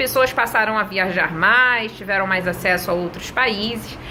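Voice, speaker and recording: At a fairly slow pace, a woman with a Rio de Janeiro accent uses lively intonation over noticeable background noise. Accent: Rio de Janeiro (carioca). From Brazil, Rio de Janeiro. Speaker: English teacher. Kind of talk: tutorial. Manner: conversational, addresses viewers directly.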